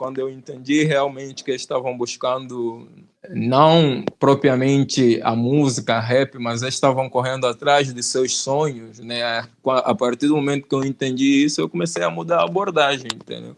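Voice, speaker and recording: A man speaks in an ordinary speaking voice at a medium pitch and moderate pace, with hardly any pauses. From Angola. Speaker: rapper, YouTuber. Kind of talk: interview answer.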